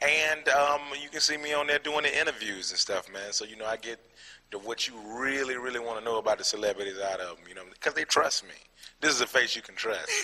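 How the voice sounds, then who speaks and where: Over noticeable background noise, a man with an American accent talks at a very fast pace and a fairly high pitch, with big swings in loudness. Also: ordinary pitch variation. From Atlanta, Georgia (Decatur), US South. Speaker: comedian. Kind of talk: interview. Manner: casual, filler-heavy (um, you know what I'm saying).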